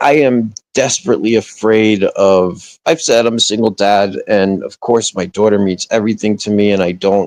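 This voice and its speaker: In a New Jersey accent, the speech runs at a moderate pace with hardly any pauses, recorded dry and close with no echo. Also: man, ordinary pitch variation. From northern New Jersey. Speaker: livestreamer. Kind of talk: casual chat. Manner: halting, many restarts.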